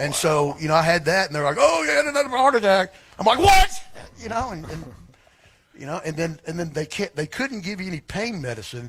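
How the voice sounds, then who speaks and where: With an American accent, a man speaks at a fairly quick pace in a high voice that swings very widely in pitch. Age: 60s. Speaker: former sports radio host. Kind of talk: casual chat.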